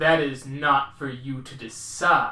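A man's put-on character voice at medium pitch, with slight echo. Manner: imposing, commanding.

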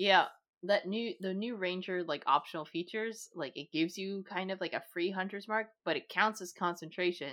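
A woman with an ordinary speaking voice keeps a moderate pace, her pitch varying in an ordinary way. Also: medium pitch for a woman. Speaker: podcast co-host. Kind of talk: casual chat.

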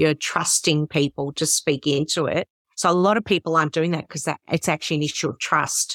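In an Australian accent, the speaker talks at a fairly quick pace with a dry, close sound and no echo. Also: woman, very deep, low pitch for a woman. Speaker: podcast host, worship leader. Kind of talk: interview conversation.

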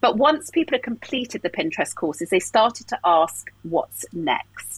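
A woman with an English accent speaks at a fairly quick pace in a medium pitch. Her pitch swings very widely, and the sound is dry and close with no echo. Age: 40s. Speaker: life coach. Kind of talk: casual interview.

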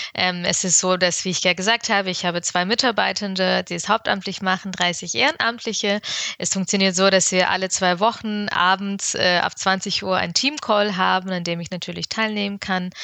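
Her pitch medium and her intonation fairly even, a woman talks at a moderate pace with hardly any pauses. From Ukraine, then Bavaria (Augsburg area) from age 11. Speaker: consultant and social entrepreneur. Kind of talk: podcast interview. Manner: hesitant fillers (ähm, äh).

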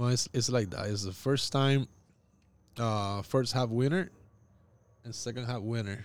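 Long pauses come often in this man's speech. His tempo is fairly slow. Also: medium pitch for a man, ordinary pitch variation. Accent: Puerto Rican. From Puerto Rico. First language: Spanish. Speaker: baseball coach. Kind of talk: casual interview.

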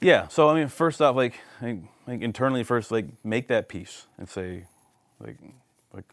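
An unremarkable speaking voice with a Canadian accent, lively intonation and a fairly quick pace, on a very clean recording with a silent background. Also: man. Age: 40s. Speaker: youth pastor. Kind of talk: casual chat.

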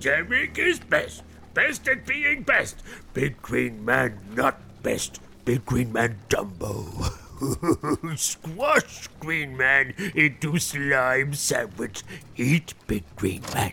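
A man uses a put-on character voice at a medium pitch and a very slow pace. Clear background noise can be heard. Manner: boastful, broken caveman grammar.

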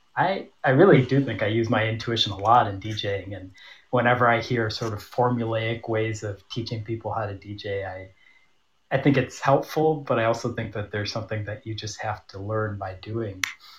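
A somewhat breathy voice at a moderate pace, with fairly even intonation and a quiet background. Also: man, medium pitch for a man. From US Midwest, Michigan (Troy). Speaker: tango dancer and DJ. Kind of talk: casual chat.

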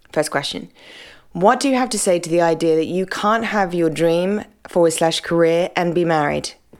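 Her voice sits fairly low for a woman, with a British accent and ordinary pitch variation. She keeps a moderate pace on a very clean recording with a silent background. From Britain. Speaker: podcast host and pastor. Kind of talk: solo Q and A podcast talk. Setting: home apartment.

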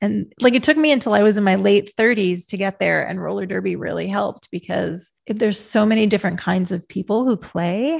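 In a normal speaking voice, a woman with an American accent talks at a fairly quick pace and medium pitch with ordinary pitch variation. The background is quiet and the sound is dry and close with no echo. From rural Pennsylvania. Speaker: author and podcast host. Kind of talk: interview conversation.

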